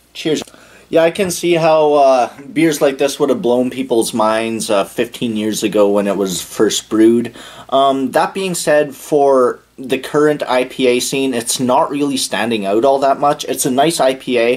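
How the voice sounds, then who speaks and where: With ordinary pitch variation, a man delivers his words at a fairly slow pace. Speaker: beer reviewer. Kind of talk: casual review commentary. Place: home room. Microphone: camera far.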